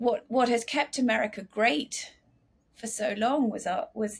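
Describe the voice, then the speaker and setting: Somewhat breathy and fairly high-pitched, a woman with an English accent speaks at a fairly slow pace. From England. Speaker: author and investigative journalist. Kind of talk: interview. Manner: halting, many restarts.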